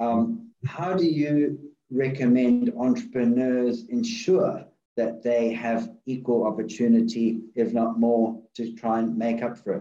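At a fairly slow pace, a man with a medium pitch and a dark, mellow tone speaks with fairly even intonation amid audible room echo. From South Africa. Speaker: podcast host, investor. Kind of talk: casual interview.

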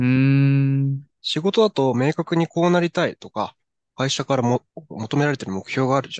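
A man speaks in an unremarkable speaking voice, fairly high-pitched with ordinary pitch variation, at a moderate pace, in a dry, close recording with no echo. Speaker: podcast co-host. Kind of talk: casual chat.

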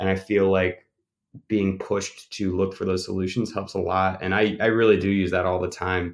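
A man's very deep, low voice stays monotone and flat. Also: moderate pace. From Maine. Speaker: program manager. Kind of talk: interview.

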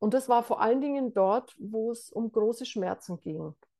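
Using a normal speaking voice, a woman with a fairly high pitch talks at a moderate pace with ordinary pitch variation. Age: 60s. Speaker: meditation teacher. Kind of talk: interview.

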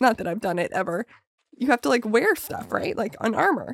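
Recorded with a dry, close sound and no echo, a woman talks at a fairly quick pace. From Calgary, Canada. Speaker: podcast host and stand-up comedian. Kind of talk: casual chat. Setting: studio.

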